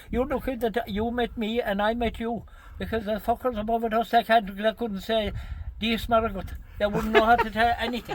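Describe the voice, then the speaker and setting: Monotone and flat, a man with a Kerry accent speaks at a fairly quick pace and a high pitch. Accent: Irish, Kerry. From Ireland. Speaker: horse and cart driver, storyteller. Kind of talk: casual storytelling conversation. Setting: outdoors.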